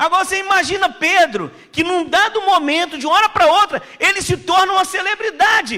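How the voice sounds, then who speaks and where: A man speaks fairly quickly in a raised, projected voice at an extremely high pitch, with ordinary pitch variation and hardly any pauses. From Pernambuco, Brazil. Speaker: missionary preacher. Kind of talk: sermon. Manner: casual, conversational.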